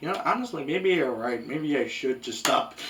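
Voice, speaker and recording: A man's lively intonation carries over noticeable background noise. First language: Spanish. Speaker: anime reviewer. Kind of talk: video essay review. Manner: casual conversational.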